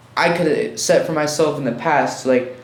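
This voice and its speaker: The pace is moderate. Echo from the room is audible. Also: man. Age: 20s. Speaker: artist and fashion designer. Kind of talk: casual chat.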